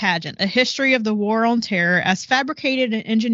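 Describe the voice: Ordinary pitch variation in plain reading aloud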